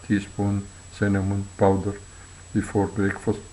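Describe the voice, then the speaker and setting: With a non-native accent, a man speaks fairly slowly in a fairly low voice. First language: not English. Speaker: health video narrator. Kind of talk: reading aloud. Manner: halting.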